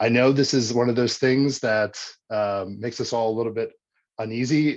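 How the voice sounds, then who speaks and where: An ordinary speaking voice moves at a moderate pace with ordinary pitch variation over a quiet background. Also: man. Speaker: researcher presenting software tool. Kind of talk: webinar software demonstration. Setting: online webinar. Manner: casual with frequent fillers.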